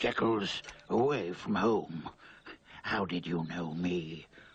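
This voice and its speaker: A man puts on a raspy character voice, pitched very deep and low. He speaks at a fairly slow pace with ordinary pitch variation. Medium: cartoon. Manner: curt, hostile, sneering.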